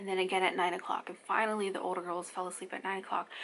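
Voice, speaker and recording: A soft-spoken woman at medium pitch, talking at a very fast pace. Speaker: mom vlogger. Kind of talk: casual chat.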